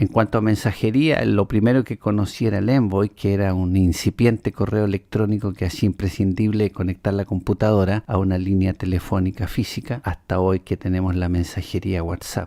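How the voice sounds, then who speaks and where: Recorded very cleanly against a silent background, a man with a fairly low pitch and a dark, mellow tone talks at a fairly quick pace with hardly any pauses, the sound dry and close with no echo. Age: 60s. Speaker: podcast host, writer. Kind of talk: personal opinion monologue.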